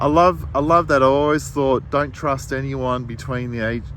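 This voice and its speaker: A man speaking, with audible room echo and noticeable background noise around him. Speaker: writer and artist. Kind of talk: casual monologue. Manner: halting, searching for words.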